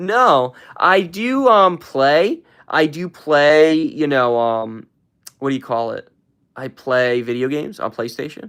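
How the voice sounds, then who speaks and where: Very slowly, a man speaks with very wide pitch swings. The recording is very clean with a silent background. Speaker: live streamer. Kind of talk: casual chat. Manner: loud, hyped shouting; calm, resting voice.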